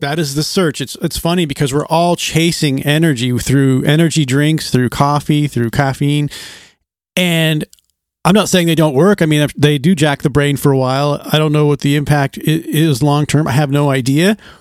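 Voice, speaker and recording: The recording is very clean, with a silent background. A plain, everyday voice proceeds at a moderate pace, its intonation fairly even. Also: man, fairly high pitch for a man. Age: 50s. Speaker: podcast co-host. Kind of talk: casual chat.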